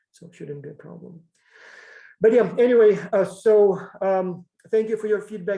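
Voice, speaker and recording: Speaking with a non-native accent, a man talks fairly quickly with fairly even intonation. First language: not English. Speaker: professor. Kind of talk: lecture. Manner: halting.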